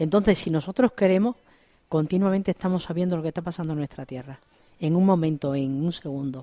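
At a very fast pace, a woman with fairly low pitch, ordinary pitch variation and a dark, mellow tone speaks in a dry, close sound with no echo, on a very clean recording with a silent background. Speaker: regional association president. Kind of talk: radio interview.

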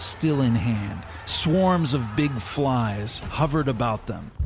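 A man's medium-pitched voice in a solemn, dramatic tone, over noticeable background noise. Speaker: magazine editor and radio host. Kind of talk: scripted narration of a historical story for a radio program. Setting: studio. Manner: measured, solemn storytelling that builds tension and grows dramatic in the battle scenes.

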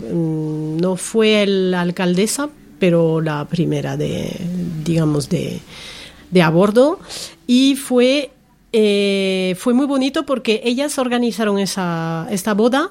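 Speaking very slowly at a medium pitch, a woman lets her pitch swing very widely. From France. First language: French (speaking Spanish). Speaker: journalism voice course student. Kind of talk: casual chat. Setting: bookshop.

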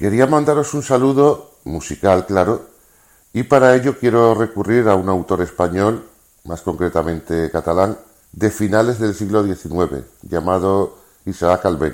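In an ordinary speaking voice, a man talks at a fairly slow pace, his fairly low pitch carried by lively intonation. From Seville, southern Spain. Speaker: listener contributor. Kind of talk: recorded message.

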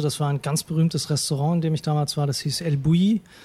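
In a dry, close recording with no echo, a man speaks at a fairly high pitch with fairly even intonation. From Hamburg, northern Germany. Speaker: food blogger. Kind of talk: interview. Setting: restaurant. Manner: hesitant, many fillers.

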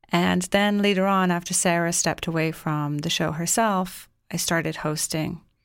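A woman speaks at a moderate pace with hardly any pauses, in a normal speaking voice of fairly low pitch and fairly even intonation. The recording is very clean, with a silent background. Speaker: radio host. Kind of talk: radio show host sign-off and introduction. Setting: campus radio studio.

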